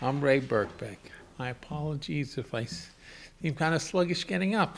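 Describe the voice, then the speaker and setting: Ordinary pitch variation and a moderate pace from a male speaker. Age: 60s. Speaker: artist living with HIV. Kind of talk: autobiographical reading aloud. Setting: gallery event with audience. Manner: halting, repeats words.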